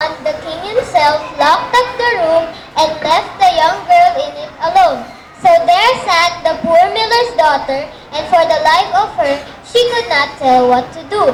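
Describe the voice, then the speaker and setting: An extremely high put-on character voice with slight echo and clear background noise. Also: moderate pace. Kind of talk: fairy tale narration. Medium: stage play.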